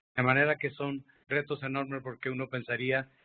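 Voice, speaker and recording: At a moderate pace, a man talks at a medium pitch. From Mexico, Zacatecas. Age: 60s. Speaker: public health physician and moderator. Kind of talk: panel moderation.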